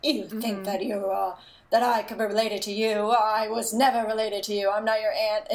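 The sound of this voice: Husky put-on character voice at a fairly quick pace. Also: female-sounding voice, fairly high pitch for a woman.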